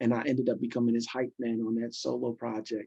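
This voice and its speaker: With a New York accent, a man speaks fairly quickly at a medium pitch in a dark, mellow tone, his intonation monotone and flat and the sound dry and close with no echo. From New York City (Brooklyn and Queens). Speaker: pastor and former hip hop hype man. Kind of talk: casual interview.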